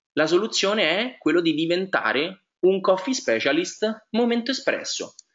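Fairly slow in pace, a man speaks at a high pitch with very wide pitch swings. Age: 20s. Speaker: network marketing presenter. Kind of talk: sales pitch. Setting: webinar. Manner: hesitant, frequent fillers.

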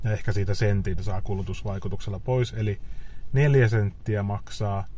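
Heard in a dry sound with no echo, a man speaks very slowly. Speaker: EV owner vlogger. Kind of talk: casual vlog chat. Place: car. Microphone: phone near.

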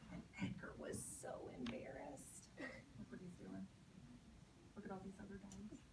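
A woman whispers at a moderate pace with vocal fry, and the room echo is audible.

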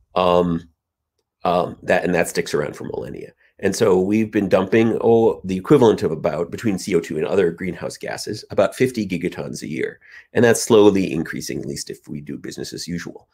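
Big swings in loudness mark this man's speech, delivered at a fairly quick pace. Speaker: keynote speaker. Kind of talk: keynote lecture. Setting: video call. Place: home room. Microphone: webcam.

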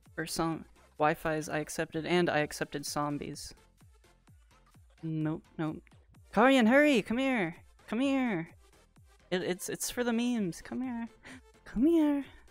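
Long, frequent pauses at a fairly slow pace, with a dry sound free of echo and faint music in the background. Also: woman. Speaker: streamer. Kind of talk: casual livestream chat. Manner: playful, excitable.

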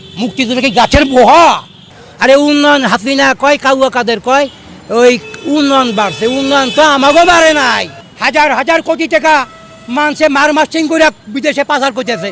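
The pitch varies in an ordinary way. Noticeable background noise sits under the voice. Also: man, extremely high pitch for a man. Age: 70s. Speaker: freedom fighter veteran and rickshaw puller. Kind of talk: street interview complaint. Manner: animated.

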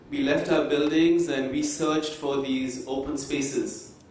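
Audible room echo fills the recording. A man speaks at a fairly slow pace. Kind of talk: conference presentation. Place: hall.

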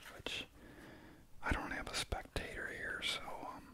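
Soft-spoken whispering at a very slow pace. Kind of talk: tutorial. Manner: soft ASMR whisper.

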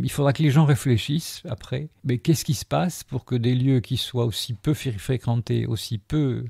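Dark and mellow in tone and somewhat breathy, the voice moves at a moderate pace with lively intonation, recorded dry and close with no echo against a silent background on a very clean recording. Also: man. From Algeria, then France. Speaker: sculptor, former philosophy teacher. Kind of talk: interview. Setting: his gallery-workshop.

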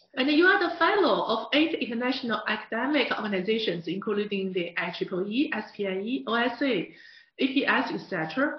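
Moderate-paced speech with a Mandarin accent and audible room echo. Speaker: interview host. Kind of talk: scripted narration and interview. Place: studio.

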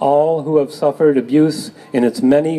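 Moderate-paced speech from a man. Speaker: speaker. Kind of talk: public reading at rally. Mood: solemn, earnest. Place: street. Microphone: camera far.

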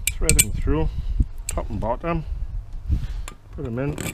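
Over faint background noise, a man speaks fairly slowly in a dark, mellow tone at a medium pitch.

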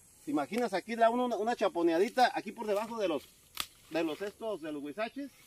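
A man's high, animated voice at a very fast pace with lively intonation, dry with no echo, over light background noise. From Mexico, Michoacán (Llano Grande); Michoacán, Mexico. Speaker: video blogger. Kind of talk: casual vlog tour. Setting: outdoors. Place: open country. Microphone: phone near.

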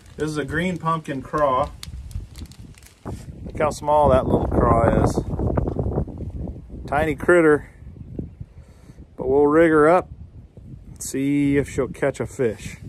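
Speaking at a very slow pace, a man leaves long, frequent pauses and keeps his intonation fairly even. The sound is dry with no echo, though background noise is noticeable. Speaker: fishing vlogger. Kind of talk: casual tutorial vlog chat. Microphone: phone near.

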